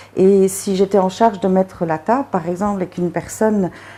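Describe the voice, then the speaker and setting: Noticeable background noise sits behind a woman speaking at a medium pitch and a fairly quick pace. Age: 40s. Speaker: recovering alcoholic. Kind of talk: interview answer.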